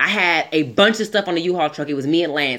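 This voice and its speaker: With an American accent, a woman speaks in an animated tone at a fairly low pitch with ordinary pitch variation. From Southern California. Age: 30s. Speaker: podcast co-host. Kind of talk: casual chat.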